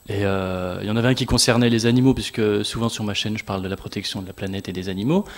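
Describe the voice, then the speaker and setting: A man talks at a very fast pace with hardly any pauses. His pitch is fairly low and his intonation fairly even. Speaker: youtuber. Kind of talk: panel talk.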